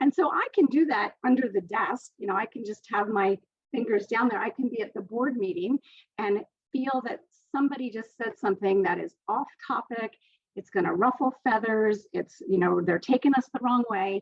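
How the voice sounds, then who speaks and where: Her normal speaking voice sits fairly high in pitch, and this woman keeps a moderate pace with lively intonation. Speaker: author and speaker at online summit. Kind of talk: presentation.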